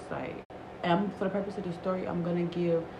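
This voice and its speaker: Amid noticeable background noise and audible room echo, a woman whispers. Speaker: storytime vlogger. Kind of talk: casual storytelling. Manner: whispering.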